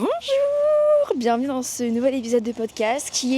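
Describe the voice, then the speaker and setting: Noticeable background noise sits behind the speaker. She is a woman talking at a fairly slow pace. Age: 20s. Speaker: podcaster and vlogger. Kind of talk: casual walking vlog monologue. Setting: outdoors walking in city streets. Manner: casual with many hesitations.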